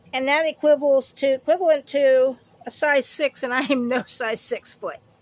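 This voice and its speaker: A woman's high-pitched voice, dry and close with no echo, against noticeable background noise. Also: fairly even intonation, moderate pace. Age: 50s. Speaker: haul video vlogger. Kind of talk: casual product haul chat. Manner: rambling, self-correcting.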